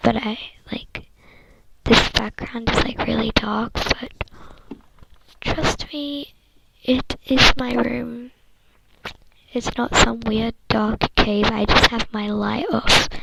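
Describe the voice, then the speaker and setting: A woman speaks at a very slow pace, leaving long, frequent pauses. There is noticeable background noise. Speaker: ASMR creator. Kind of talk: ASMR casual talk. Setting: bedroom. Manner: soft-spoken; hesitant.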